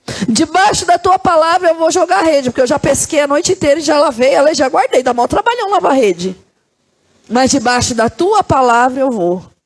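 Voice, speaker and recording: A woman with a high pitch and an animated tone, speaking at a fairly quick pace with very wide pitch swings and very even loudness, in a dry, close sound with no echo. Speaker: pastor. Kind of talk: sermon.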